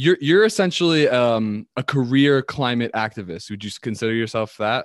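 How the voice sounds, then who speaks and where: With an American accent, a man speaks in an enthusiastic tone at a medium pitch, ordinary pitch variation, a dry, close sound with no echo and a quiet background. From US East Coast. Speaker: podcast host. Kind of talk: casual interview chat.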